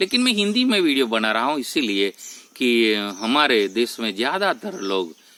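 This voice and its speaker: With a Gujarati accent, a man speaks in a bright, sharp tone with very wide pitch swings. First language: Gujarati (speaking Hindi). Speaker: spiritual YouTuber. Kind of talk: spiritual talk to camera. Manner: halting, with self-corrections.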